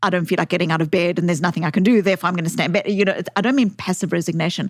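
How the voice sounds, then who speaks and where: Talking at a very fast pace with a South African accent, a woman with a fairly low-pitched voice keeps fairly even intonation and very even loudness in a very clean recording with a silent background. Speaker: author, psychologist. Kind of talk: podcast interview. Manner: hesitant, repeats words.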